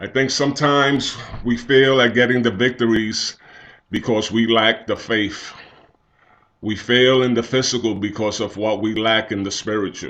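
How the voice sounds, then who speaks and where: The speaker has a plain, everyday voice. The pace is moderate and the intonation fairly even. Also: man, medium pitch for a man. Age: 60s. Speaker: church elder giving devotional. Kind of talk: devotional talk.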